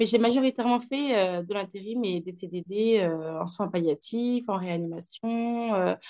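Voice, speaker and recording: At a fairly slow pace, a woman speaks with hardly any pauses. Her pitch is medium, with ordinary variation. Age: 30s. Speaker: nurse. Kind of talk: testimony. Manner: hesitant, many fillers.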